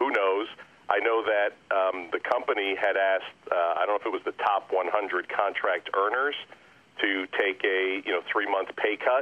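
A man with a normal speaking voice, a fairly low pitch, very even loudness and a moderate pace. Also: fairly even intonation. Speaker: sports radio broadcaster. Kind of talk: casual interview.

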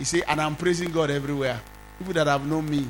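This man sounds animated and somewhat breathy, with fairly high pitch. He moves at a fairly quick pace. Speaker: pastor. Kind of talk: sermon. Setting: church.

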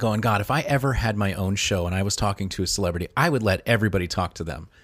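A man talks at a very fast pace with a fairly low pitch. His tone is energetic and his intonation lively. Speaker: podcaster and former radio host. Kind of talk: casual interview. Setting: remote call.

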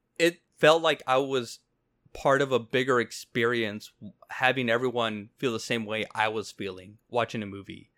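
With a Mexican accent, a man talks at a moderate pace and medium pitch in a bright, sharp tone with ordinary pitch variation, recorded very cleanly against a silent background. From Mexico. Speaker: film podcast host. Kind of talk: casual chat. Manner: animated.

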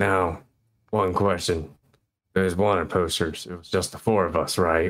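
On a very clean recording with a silent background, a man does a put-on character voice, raspy and very deep in pitch. His intonation stays fairly even at a moderate pace, while his loudness swings widely. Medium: actual play. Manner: blunt, terse.

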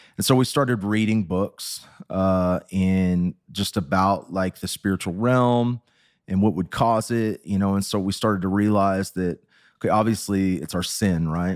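Someone with an American accent speaks in a plain, everyday voice at a fairly slow pace with fairly even intonation. The recording is very clean, with a silent background. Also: man, fairly low pitch for a man. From Texas. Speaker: recovering addict sharing his story. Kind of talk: testimony.

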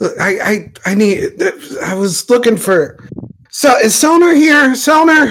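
A man in a put-on character voice speaks at an extremely high pitch, very slowly, with long, frequent pauses.

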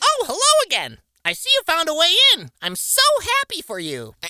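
A put-on character voice comes through at a moderate pace. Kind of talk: sugary, sing-song. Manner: fake cheerful.

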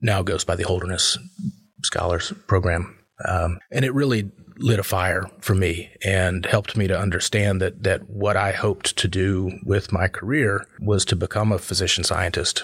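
Somewhat breathy and fairly even in intonation, this voice moves at a moderate pace with an American accent. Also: man. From US, North Carolina (Chapel Hill). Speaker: cardiologist and professor. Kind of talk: casual interview. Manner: halting, repeats words.

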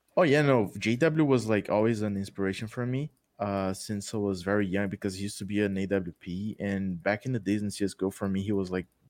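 A man with a Brazilian accent, dry and close with no echo, against a quiet background. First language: Portuguese. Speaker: gaming content creator. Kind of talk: casual chat.

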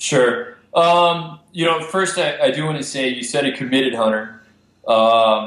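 With an American accent, a man uses an ordinary speaking voice at a fairly high pitch, ordinary pitch variation, and a fairly slow pace. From Texas, Amarillo. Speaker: filmmaker and conservationist. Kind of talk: casual interview.

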